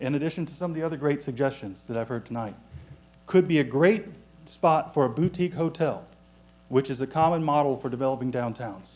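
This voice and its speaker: Speaking fairly quickly in a plain, everyday voice, a man has a fairly high pitch and ordinary pitch variation. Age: 30s. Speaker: economist speaking at public comment. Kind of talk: public comment at council meeting.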